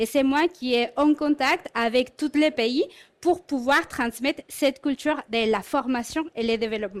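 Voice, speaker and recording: Heard dry and close with no echo, a woman speaks at a high pitch. Her pace is fairly slow, with ordinary pitch variation. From Mexico. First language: Spanish (speaking French). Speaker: corporate learning and development head. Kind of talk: conference talk.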